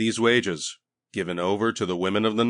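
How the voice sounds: Against a quiet background, a natural reading voice is heard.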